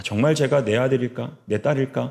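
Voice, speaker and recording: This man's voice has vocal fry and very wide pitch swings. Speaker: pastor. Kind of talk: sermon. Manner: fast.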